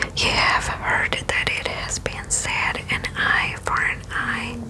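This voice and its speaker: The speaker is a woman, and she whispers. Her pace is very slow. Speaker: bible reading host. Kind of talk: soft-spoken scripture reading and explanation. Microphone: studio mic.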